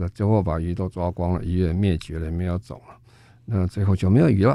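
A man talks in a very deep, low voice with a dark, mellow tone. His intonation stays fairly even. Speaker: foundation chairman and sustainability expert. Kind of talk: radio interview. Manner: halting, many fillers.

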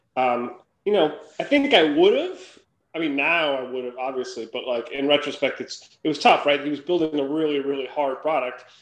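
In an American accent, a man with a normal speaking voice talks at a fairly high pitch and moderate pace, his intonation fairly even. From Minnesota, US Midwest. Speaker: angel investor and founder. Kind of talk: interview.

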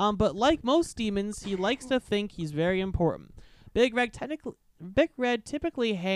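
Someone reads in an unforced voice. Lively intonation runs through it.

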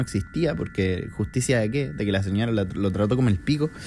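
A man speaks at a moderate pace with a Chilean accent and lively intonation. His tone is dark and mellow, and somewhat breathy. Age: 20s. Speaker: podcaster. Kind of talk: casual monologue.

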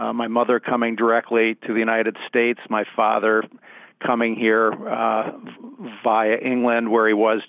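The speaker is a man with an American accent. He talks at a fairly slow pace. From Milwaukee, Wisconsin. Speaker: lawyer. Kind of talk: interview.

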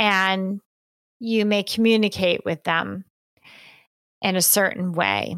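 In a very clean recording with a silent background and a dry, close sound with no echo, a woman speaks with a Northeastern US accent. Her delivery is very slow, monotone and flat, with very even loudness and long, frequent pauses. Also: medium pitch for a woman. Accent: American (Northeast). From rural New York State, US. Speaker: psychology professor and author. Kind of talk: interview.

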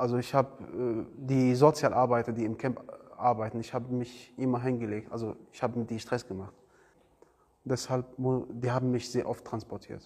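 A man speaks at a moderate pace with monotone, flat intonation. His loudness swings a lot. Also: medium pitch for a man. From Iraq. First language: Arabic (speaking German). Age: 20s. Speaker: refugee, trainee car mechatronics technician. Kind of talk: interview. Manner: halting.

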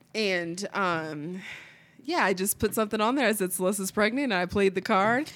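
Over a very clean recording with a silent background, a woman uses an ordinary speaking voice at a moderate pace with ordinary pitch variation. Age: 20s. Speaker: podcast co-host. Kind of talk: casual chat.

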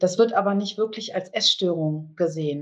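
The speaker here is a woman. There is a somewhat breathy quality to her voice. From Bonn, Germany. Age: 40s. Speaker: eating disorder support group leader. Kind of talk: interview.

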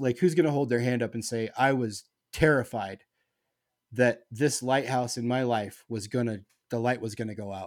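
An ordinary speaking voice from a man of medium pitch, at a moderate pace with ordinary pitch variation, on a very clean recording with a silent background. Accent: American. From Nebraska. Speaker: 311 fan. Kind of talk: casual chat.

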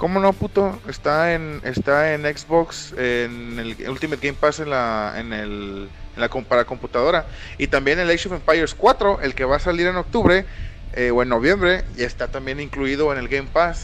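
A man with a Mexican accent speaks at a moderate pace and a fairly high pitch. His intonation is lively, and noticeable background noise is present. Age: 20s. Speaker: podcast host. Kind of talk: casual chat. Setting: live stream.

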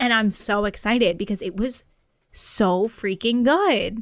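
In an American accent, a woman with an ordinary speaking voice talks at a fairly slow pace, her fairly high pitch showing ordinary pitch variation. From rural Massachusetts. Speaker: podcast co-host. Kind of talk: casual chat.

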